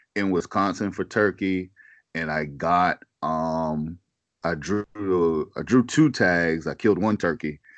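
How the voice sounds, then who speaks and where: Here a man with a Southern US accent speaks at a very slow pace in a very deep, low pitch. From US South, South Carolina. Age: 40s. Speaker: hunting podcaster. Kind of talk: casual chat.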